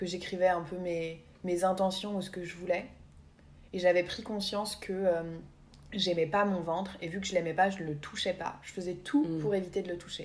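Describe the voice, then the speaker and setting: Medium pitch and fairly even intonation from a woman, at a moderate pace. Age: 20s. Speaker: podcast co-host. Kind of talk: casual chat. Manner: hesitant, many fillers.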